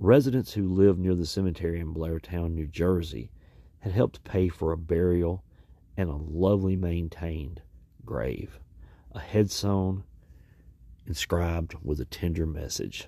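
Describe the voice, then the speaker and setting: A man's very deep, low voice, dark and mellow in tone, dramatic, at a fairly slow pace with long, frequent pauses and ordinary pitch variation. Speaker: podcast host. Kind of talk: true-crime narration, scripted news-style retelling. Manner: grave, measured, somber; dramatic emphasis, repeats key words ('today, yes, today').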